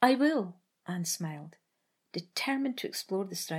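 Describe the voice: Someone reads plainly aloud against a quiet background. The intonation is lively.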